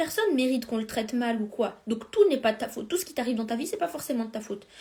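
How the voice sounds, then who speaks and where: A woman with a fairly high pitch talks at a very fast pace in an animated tone. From France. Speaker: life coach. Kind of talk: live stream coaching talk. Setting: Instagram live stream.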